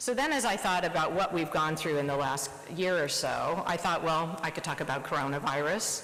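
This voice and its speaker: Set against noticeable background noise and audible room echo, a woman speaks at a fairly quick pace with a very deep, low pitch. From US Midwest, Nebraska. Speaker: surgeon. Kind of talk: presidential address. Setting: conference stage with audience.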